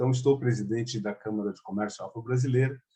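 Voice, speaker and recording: Intonation stays fairly even as this man talks. His voice has a dark, mellow tone. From Angola. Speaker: chamber of commerce president. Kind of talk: conference talk. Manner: many fillers and hesitations.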